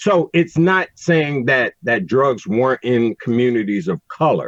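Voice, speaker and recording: A man with an American accent speaks fairly slowly in a normal speaking voice, fairly high in pitch and lively in intonation. His loudness stays very even, and the sound is dry and close with no echo. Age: 60s. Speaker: recovery advocate. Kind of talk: podcast interview.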